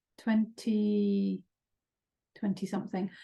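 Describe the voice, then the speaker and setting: A woman with an English accent speaks at a fairly high pitch, somewhat breathy. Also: quiet background. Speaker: psychotherapist. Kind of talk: webinar presentation. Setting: online webinar. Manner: hesitant, many fillers.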